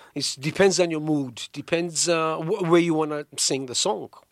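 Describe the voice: Here a man speaks with a fairly high pitch. His pace is moderate and his pitch variation ordinary.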